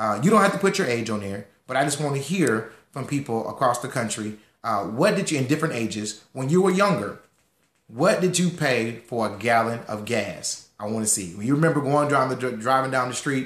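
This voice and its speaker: This man talks at a fairly quick pace with lively intonation and a medium pitch. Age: 30s. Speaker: financial educator. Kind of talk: online class. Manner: fast.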